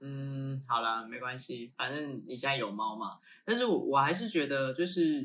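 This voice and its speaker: A man with a Taiwanese accent speaks at a moderate pace in a fairly high pitch. His tone is bright and sharp, with ordinary pitch variation. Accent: Taiwanese Mandarin. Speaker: podcast co-host, runs a branding and marketing firm. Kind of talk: casual chat.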